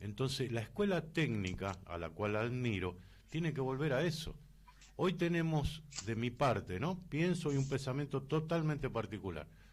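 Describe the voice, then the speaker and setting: With vocal fry, a man speaks at a fairly high pitch. His pitch swings very widely at a moderate pace. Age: 60s. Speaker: radio host. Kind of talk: radio interview.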